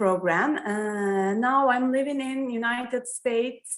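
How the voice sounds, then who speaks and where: A woman speaks with a Turkish accent. Her pace is very slow, with ordinary pitch variation. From Turkey, Istanbul. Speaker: yoga student. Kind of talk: self-introduction in online class. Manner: halting.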